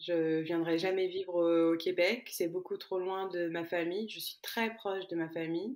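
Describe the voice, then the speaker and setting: Here a woman talks at a fairly slow pace with a medium pitch. Her intonation stays fairly even. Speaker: podcast guest, immigrant. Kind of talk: personal testimony interview.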